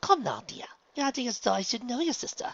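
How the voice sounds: A put-on character voice with big pitch swings, vocal fry, a fairly bright tone and a fairly quick pace, in a dry, close sound with no echo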